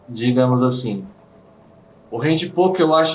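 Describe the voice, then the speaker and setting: Background noise comes through clearly. The room's echo is audible too. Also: man. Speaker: handpoke tattoo artist. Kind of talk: interview.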